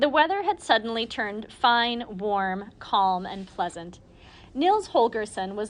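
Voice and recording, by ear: Lively intonation marks this reading aloud in a natural voice.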